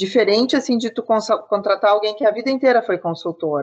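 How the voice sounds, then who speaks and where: Lively intonation from a woman at a fairly quick pace, a plain, everyday voice. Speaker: business consultant. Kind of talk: interview.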